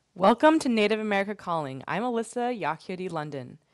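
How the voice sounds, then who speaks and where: A woman's plain, everyday voice with lively intonation, at a moderate pace over a quiet background. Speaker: radio host. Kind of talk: call-in radio show. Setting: studio.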